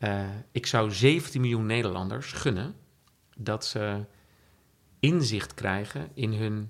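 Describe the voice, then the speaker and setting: Heard in a very clean recording with a silent background, a man speaks with a fairly low pitch and ordinary pitch variation. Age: 50s. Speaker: entrepreneur. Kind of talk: interview. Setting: at the guest's home.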